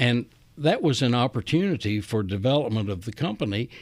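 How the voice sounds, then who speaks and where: Very wide pitch swings in a Southern US accent. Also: man. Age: 70s. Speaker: retired chief executive. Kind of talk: interview. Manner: folksy storyteller.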